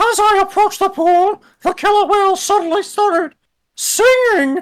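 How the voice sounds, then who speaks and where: At a moderate pace, the speaker delivers a put-on character voice with an extremely high pitch. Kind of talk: regal, theatrical. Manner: mock-grand, storytelling.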